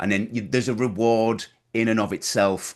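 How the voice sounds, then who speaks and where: With a Teesside accent, a man talks in fairly even intonation against a quiet background. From northern England, Middlesbrough. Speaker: business coach. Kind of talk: podcast interview. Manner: halting, many repetitions.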